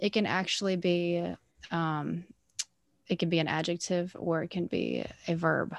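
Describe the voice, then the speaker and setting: This is a woman speaking at a fairly low pitch. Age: 20s. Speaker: sober festival-goer and advocate. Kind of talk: interview. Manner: animated.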